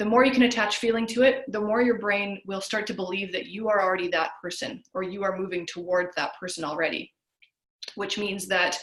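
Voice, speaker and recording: Audible room echo around a woman's medium pitch and ordinary pitch variation. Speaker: health coach. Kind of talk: webinar lecture. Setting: video call. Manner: fast.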